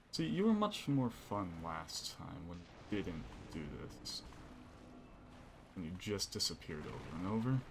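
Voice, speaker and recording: Over noticeable background noise, a man with a very deep, low pitch and a somewhat breathy voice talks at a fairly slow pace with lively intonation, big swings in loudness, and long, frequent pauses. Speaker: gaming streamer. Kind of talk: gameplay commentary while streaming. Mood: relieved, joking.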